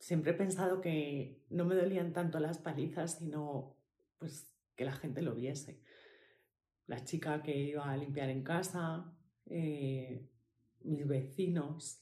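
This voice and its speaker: With a dark, mellow tone and a very deep, low pitch, a woman speaks at a very slow pace with fairly even intonation amid audible room echo. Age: 40s. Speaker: podcast host, healing coach for women. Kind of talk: personal testimony. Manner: halting, with fillers and repetitions.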